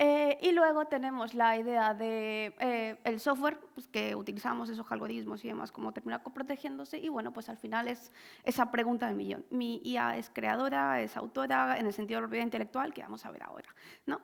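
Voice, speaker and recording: A woman speaks at a fairly quick pace. Her loudness swings widely from moment to moment. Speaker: lawyer specialised in intellectual property. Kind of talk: conference talk. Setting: stage with audience. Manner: fast.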